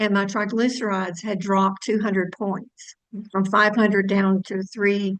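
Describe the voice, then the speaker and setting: A woman's ordinary speaking voice, medium in pitch, at a moderate pace. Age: 60s. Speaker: health product distributor. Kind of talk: testimony.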